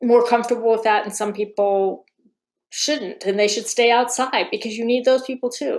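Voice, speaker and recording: A woman talks at a moderate pace with fairly even intonation and a fairly high pitch. It is a normal speaking voice. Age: 60s. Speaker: violence against women researcher. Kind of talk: podcast interview.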